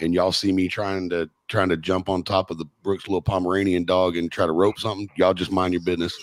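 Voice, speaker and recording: In a Texan accent, a man speaks at a very fast pace with a very deep, low pitch and monotone, flat intonation. The sound is dry and close, with no echo. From Texas. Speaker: podcast host. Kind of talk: casual chat. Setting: studio.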